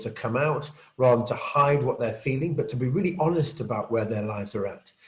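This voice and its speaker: This man has a British accent and a medium pitch with ordinary pitch variation. He talks at a fairly quick pace, with audible room echo. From Britain. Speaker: conference speaker, peer support group leader. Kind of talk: conference talk. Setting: virtual conference, recorded video.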